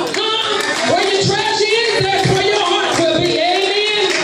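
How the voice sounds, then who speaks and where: Fairly slow male speech with audible room echo and crowd noise in the background. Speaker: preacher. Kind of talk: sermon. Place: church. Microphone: pa.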